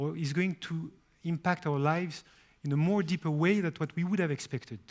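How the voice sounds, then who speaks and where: A man with a French accent speaks at a high pitch with ordinary pitch variation. The recording is very clean, with a silent background. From France. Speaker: company CEO. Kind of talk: press conference speech.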